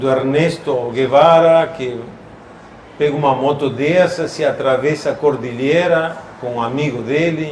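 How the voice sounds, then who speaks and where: With an Argentine accent, the speaker talks at a fairly slow pace and with fairly even intonation, amid audible room echo and noticeable background noise. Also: man, fairly high pitch for a man. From Argentina. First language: Spanish (speaking Portuguese). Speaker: classic vehicle collector. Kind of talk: casual chat. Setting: shopping mall exhibition.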